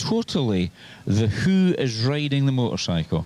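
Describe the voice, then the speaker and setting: The voice carries a Scottish accent. Its pitch swings very widely. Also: man. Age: 60s. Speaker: trials observer. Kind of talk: casual interview.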